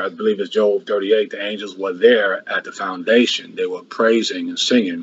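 At a moderate tempo, a man is talking. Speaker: church preacher. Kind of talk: sermon. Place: home room. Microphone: video call.

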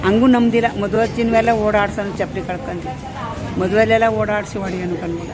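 A woman's medium-pitched voice with fairly even intonation, noticeable background noise and audible room echo. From Bangalore, Karnataka. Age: old. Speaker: widowed mother mistreated by son. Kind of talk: personal testimony. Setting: outdoors at a bus stand.

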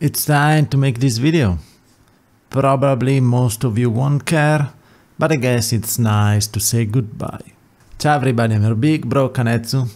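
A man speaks with an Italian accent at medium pitch and a moderate pace. His pitch variation is ordinary and his loudness very even. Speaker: YouTube content creator. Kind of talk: monologue video, farewell address.

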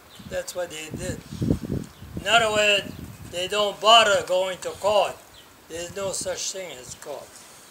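An American-accented man with a high pitch, a raised, projected voice, big swings in loudness, fairly even intonation, a fairly slow pace, long and frequent pauses, and noticeable background noise. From Rhode Island, USA. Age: 80s+. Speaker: war veteran. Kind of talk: casual conversation, reminiscing. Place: street. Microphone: phone near.

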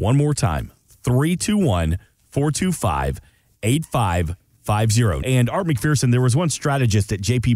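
A man with an American accent speaks very slowly, his tone dark and mellow, with very wide pitch swings. The sound is dry with no echo, over a quiet background. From US South, Atlanta; US South. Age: 40s. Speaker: radio co-host. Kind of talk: casual chat. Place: studio.

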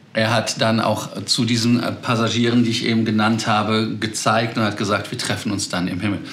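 At a fairly quick pace, a man talks in a flat monotone. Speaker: aviation news host. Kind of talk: news commentary to camera. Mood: amused, chatty. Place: home room.

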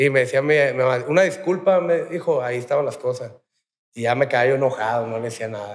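Over a quiet background, a man speaks very fast. His fairly high voice has lively intonation. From Mexico, Tijuana; Mexico. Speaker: rehab center resident, former gunman; podcast guest. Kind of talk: interview. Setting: rehab center. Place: studio. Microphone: studio mic.

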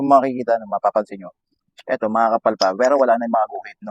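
A man at a very fast pace, dry and close-sounding with no echo. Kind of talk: tutorial. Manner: casual, frequent filler 'no?'.

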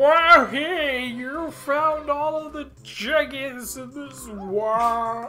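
A put-on character voice at a very slow pace, with clear music in the background. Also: female-sounding voice, high pitch for a woman. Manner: cheerful, excited exclamation.

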